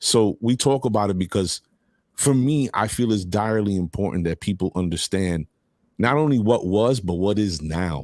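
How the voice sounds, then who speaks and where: On a very clean recording with a silent background and a dry, close sound with no echo, a man with a plain, everyday voice speaks at a moderate pace, fairly low in pitch with lively intonation. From US-born, Puerto Rican heritage. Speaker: talk show host. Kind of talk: casual interview chat.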